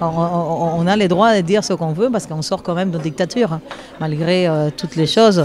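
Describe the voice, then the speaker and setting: A woman's fairly low voice at a fairly quick pace, over noticeable background noise. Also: ordinary pitch variation. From Cuba. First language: Spanish (speaking French). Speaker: percussionist and singer. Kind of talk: interview. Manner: hesitant, many fillers.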